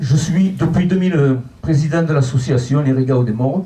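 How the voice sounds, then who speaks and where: Audible room echo surrounds a man as he talks. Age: 70s. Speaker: local election candidate. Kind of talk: public speech.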